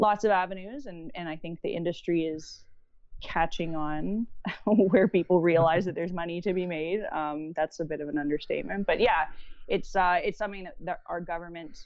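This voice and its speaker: A woman with a Canadian accent speaks at a moderate pace and fairly low pitch in an ordinary speaking voice, with ordinary pitch variation and big swings in loudness. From Canada, Toronto area. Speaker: digital marketing strategist. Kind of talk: podcast interview. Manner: casual, friendly.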